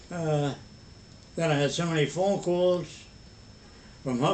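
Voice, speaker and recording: A man speaks at a very slow pace in a fairly high pitch. His intonation is fairly even. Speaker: elderly grandfather. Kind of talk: family conversation. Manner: halting.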